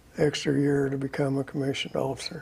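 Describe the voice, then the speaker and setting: A man with an American accent speaks at a fairly high pitch. His voice is somewhat breathy. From Oklahoma and Texas. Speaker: Air Force veteran. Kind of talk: interview. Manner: halting.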